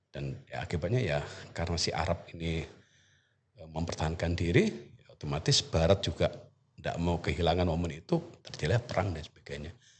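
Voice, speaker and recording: With an East Java accent, a man races along at a very fast pace in a very deep, low, somewhat breathy voice, showing ordinary pitch variation and big swings in loudness. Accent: Banyuwangi Osing. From East Java, Indonesia (Banyuwangi). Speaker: university lecturer in Arabic. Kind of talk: podcast interview. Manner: halting, many fillers.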